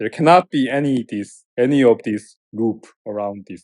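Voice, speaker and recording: The speaker has a Korean accent and ordinary pitch variation. The sound is dry and close, with no echo. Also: man. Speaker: professor. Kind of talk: lecture. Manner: halting, with repetitions.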